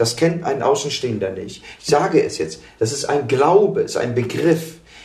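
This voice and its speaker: In a room with audible echo, a man with a fairly high pitch speaks at a very slow pace using lively intonation. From Germany. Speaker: political activist. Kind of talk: interview via interpreter.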